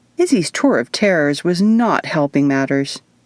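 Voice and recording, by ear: At a moderate pace, a woman with a fairly low pitch and slightly mellow tone speaks with lively intonation in a dry, close sound with no echo.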